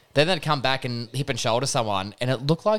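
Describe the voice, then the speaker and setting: With an Australian accent, a man talks at a very fast pace in a fairly high pitch with ordinary pitch variation. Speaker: podcast co-host, sports talk. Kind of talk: casual banter about sport.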